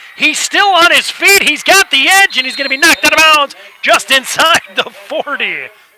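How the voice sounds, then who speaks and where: A man talks at an extremely high pitch and a moderate pace, with ordinary pitch variation. The sound is dry and close with no echo, yet there is noticeable background noise. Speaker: play-by-play sports commentator. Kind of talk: live commentary. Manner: soft-spoken.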